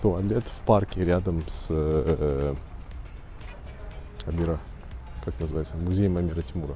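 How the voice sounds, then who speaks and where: A man with a very deep, low voice speaks at a fairly slow pace with long, frequent pauses and ordinary pitch variation, while music plays in the background and the room echo is audible. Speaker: travel vlogger. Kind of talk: vlog narration. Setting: outdoors.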